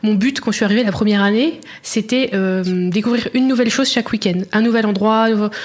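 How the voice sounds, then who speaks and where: A very fast-talking woman with very even loudness and ordinary pitch variation, over noticeable background noise. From France, Burgundy (Auxerre). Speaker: blogger. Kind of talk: interview. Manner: hesitant, many fillers.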